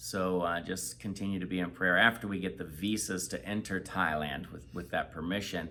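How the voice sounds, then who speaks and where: A very deep, low-pitched man talks with vocal fry and hardly any pauses. His pace is moderate, his pitch variation ordinary. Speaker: missionary. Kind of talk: casual chat.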